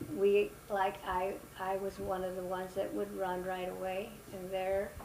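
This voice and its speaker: Over noticeable background noise, a woman talks at a fairly slow pace with monotone, flat intonation. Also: medium pitch for a woman. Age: 80s+. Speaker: family matriarch, mother of eight. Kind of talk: interview answer. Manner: hesitant, reminiscing.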